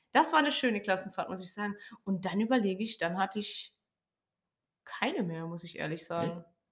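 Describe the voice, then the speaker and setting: The delivery is somewhat breathy, with lively intonation and big swings in loudness. Long pauses come often. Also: woman, medium pitch for a woman, fairly quick pace. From Lower Saxony, near Hannover. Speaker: podcast co-host. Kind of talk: casual chat.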